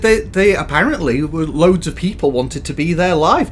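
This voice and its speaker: A man's high-pitched voice, with ordinary pitch variation, moves at a moderate pace against noticeable background noise. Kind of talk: comedic co-host banter over gameplay.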